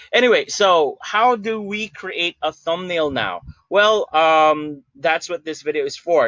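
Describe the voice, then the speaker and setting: This man's voice is loud, high-pitched and bright and sharp, with ordinary pitch variation, recorded dry and close with no echo against a quiet background. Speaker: YouTuber. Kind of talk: tutorial. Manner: hesitant, many fillers.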